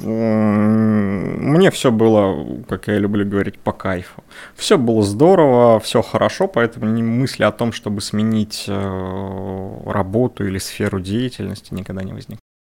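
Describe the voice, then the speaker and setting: A man with a fairly low pitch and ordinary pitch variation talks at a fairly slow pace. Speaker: math teacher. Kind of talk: casual interview. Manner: loud.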